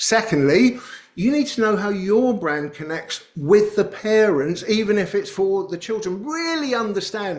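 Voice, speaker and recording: The speaker uses a British accent with very wide pitch swings and hardly any pauses. There is noticeable background noise. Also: man. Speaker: company CEO giving a webinar talk. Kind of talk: webinar presentation with Q&A. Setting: webinar. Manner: casual, with fillers; fast.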